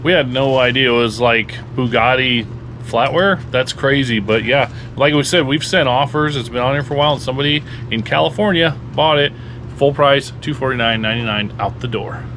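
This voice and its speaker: With light background noise behind him, a man speaks fairly quickly in an American accent with ordinary pitch variation. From US Midwest (Lincoln, Nebraska); Nebraska. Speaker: reseller, video channel host. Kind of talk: casual chat. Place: home room. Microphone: phone near.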